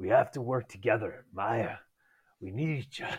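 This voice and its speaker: Putting on a character voice, a man sounds raspy and menacing in tone at medium pitch and a moderate pace. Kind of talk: reads line in his voice. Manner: gruff, menacing.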